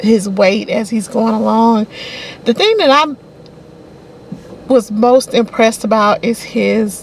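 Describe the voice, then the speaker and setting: Over noticeable background noise, a woman with a Southern US accent speaks at a fairly slow pace with fairly even intonation and long, frequent pauses. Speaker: book reviewer. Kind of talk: casual talk to camera. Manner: conversational, hesitant.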